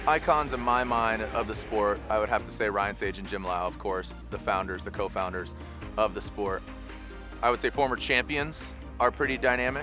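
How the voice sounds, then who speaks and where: Music plays in the background as a man with a fairly low pitch talks at a moderate pace, his pitch swinging very widely. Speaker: motorsport event announcer and commentator. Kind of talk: interview answer, reflective talk about his career.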